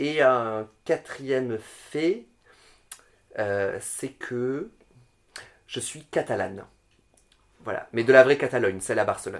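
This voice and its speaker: A very slow pace with long, frequent pauses, ordinary pitch variation and big swings in loudness. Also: man, medium pitch for a man. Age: 30s. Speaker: drag queen. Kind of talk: casual chat. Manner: halting, many fillers.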